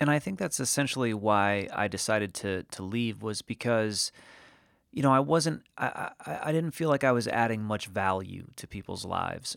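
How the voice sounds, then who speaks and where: With an American accent, a man speaks at a moderate pace and medium pitch with lively intonation in a normal speaking voice, on a very clean recording with a silent background. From New England, Connecticut. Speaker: podcast host, digital strategist. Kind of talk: solo podcast monologue. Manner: casual, with frequent fillers and repetitions.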